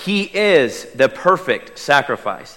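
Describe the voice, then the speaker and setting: A man with an Oklahoma accent and lively intonation, over noticeable background noise. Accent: Oklahoma Southern US. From Oklahoma, US. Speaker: lay preacher. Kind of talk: sermon. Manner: chatty.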